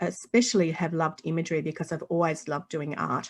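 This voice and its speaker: Against a quiet background, a woman speaks with an Australian accent in a fairly low voice. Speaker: children's author and illustrator. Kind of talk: interview.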